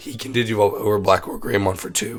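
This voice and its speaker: A man is speaking. Music plays in the background. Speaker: card game content creator. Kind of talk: tutorial. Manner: casual, many fillers.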